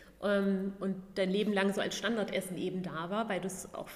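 A woman's monotone, flat delivery at a moderate pace over noticeable background noise. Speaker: vegan food blogger and former fitness trainer. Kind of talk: casual interview.

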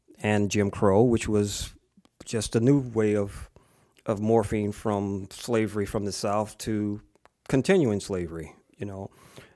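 In a very clean recording with a silent background, a man with an American accent speaks in a monotone, flat intonation, his tone dark and mellow and his pitch fairly low. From Springfield, Massachusetts (first ten years in Savannah, Georgia). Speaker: bassist and composer. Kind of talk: interview. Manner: halting, many fillers.

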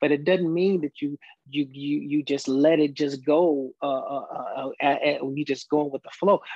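Using an unremarkable speaking voice, a man with an American accent talks at a fairly slow pace with a fairly high pitch and fairly even intonation. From Chicago, US Midwest. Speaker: gospel singer. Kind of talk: interview.

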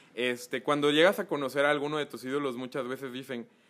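A man's medium-pitched voice with a Mexican accent at a fairly quick pace. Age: 20s. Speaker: photographer and influencer manager. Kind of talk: casual chat.

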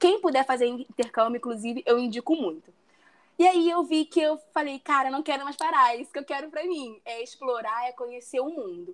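At a fairly quick pace, a woman with a Rio de Janeiro accent speaks high in pitch, her intonation lively and her loudness swinging widely. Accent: Carioca Brazilian Portuguese. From Brazil, Rio de Janeiro. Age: 20s. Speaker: travel planner. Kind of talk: interview. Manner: confident.

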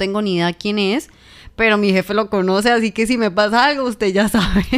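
On a very clean recording with a silent background, a woman with a plain, everyday voice talks at a fairly quick pace, medium pitch and ordinary pitch variation. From Colombia, Tolima (Ibagué). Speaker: journalist and podcast co-host. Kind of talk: casual chat.

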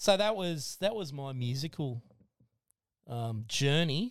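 With an Australian accent, a man speaks in a fairly high voice with lively intonation, recorded very cleanly against a silent background. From Australia, Blue Mountains NSW. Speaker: podcast guest, former machinist and drummer. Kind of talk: casual chat.

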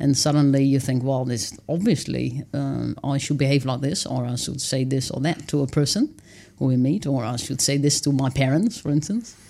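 With a Dutch accent, a woman speaks at a moderate pace in a very deep, low voice with vocal fry and ordinary pitch variation. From Netherlands. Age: 30s. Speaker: author and wilderness dweller. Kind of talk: interview. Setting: studio.

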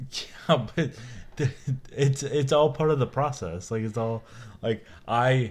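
A mumbling man on a very clean recording with a silent background. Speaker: podcast co-host, father. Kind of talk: casual chat. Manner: quiet. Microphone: new microphone.

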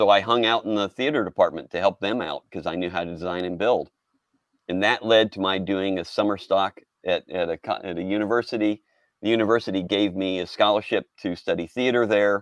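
With an unremarkable speaking voice, a man talks at a fairly quick pace in a fairly low pitch and fairly even intonation. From Texas, Houston. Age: 50s. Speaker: storyboard artist. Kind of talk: casual interview.

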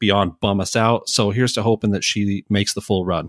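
Fairly quick speech with monotone, flat intonation comes through a very clean recording with a silent background and a dry, close sound with no echo. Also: man. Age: 30s. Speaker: podcast co-host. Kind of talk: casual chat.

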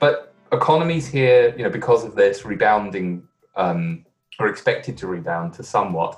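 A fairly low-pitched man with a London accent, lively intonation and big swings in loudness at a moderate pace, with music in the background. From London, England. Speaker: management consultant. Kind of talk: interview. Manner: hesitant, many fillers.

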